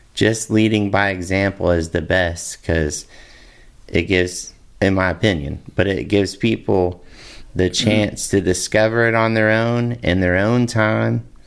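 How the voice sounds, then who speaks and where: A man with an unremarkable speaking voice talks at a fairly slow pace and fairly low pitch. His loudness stays very even, with ordinary pitch variation. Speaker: podcast host. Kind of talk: casual podcast conversation.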